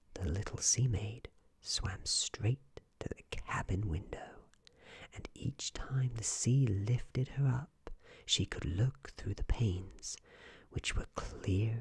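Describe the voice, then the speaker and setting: A man whispers at a very slow pace in a gentle, soothing tone. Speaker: ASMR storyteller. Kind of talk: bedtime story reading aloud, hushed ASMR narration of a fairytale. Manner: slow, soft-spoken, soothing and calm; gentle, even, unhurried, lulling pace.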